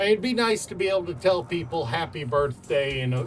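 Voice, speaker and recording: A strong Southern US accent at a fairly quick pace, with music in the background. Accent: thick southern US. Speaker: gaming streamer. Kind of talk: casual chat. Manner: filler-heavy, repetitive.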